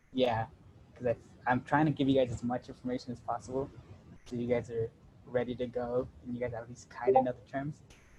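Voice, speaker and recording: At a fairly quick pace, a man in a medium pitch speaks with flat, monotone intonation and long, frequent pauses over noticeable background noise. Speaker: workshop presenter teaching AutoCAD. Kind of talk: tutorial. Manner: fast; casual, with many fillers.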